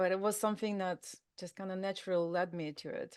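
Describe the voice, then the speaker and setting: With a Russian accent, this voice moves at a moderate pace with ordinary pitch variation, recorded dry and close with no echo against a quiet background. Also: woman. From Russia, Altai region. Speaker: drug prevention trainer. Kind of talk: interview. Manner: hesitant, many fillers.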